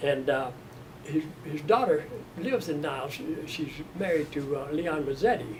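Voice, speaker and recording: A man with an American accent, fairly high pitch, lively intonation and a moderate pace, over noticeable background noise. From US South, Mississippi. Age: 90s. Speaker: retired steel mill worker. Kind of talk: oral history interview. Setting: museum interview room. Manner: halting.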